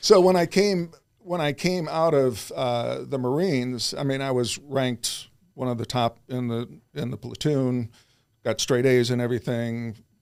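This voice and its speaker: With a plain, everyday voice, a medium-pitched man in an American accent talks at a fairly slow pace with ordinary pitch variation. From US Midwest, Chicago suburbs. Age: 60s. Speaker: self-improvement coach. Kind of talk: interview conversation.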